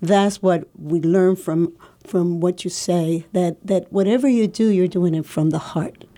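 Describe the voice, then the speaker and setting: A woman with a Spanish accent speaks at a fairly slow pace, her dark, mellow tone carried by fairly even intonation. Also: medium pitch for a woman, very even loudness. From Puerto Rico. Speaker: community radio host. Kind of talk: radio interview.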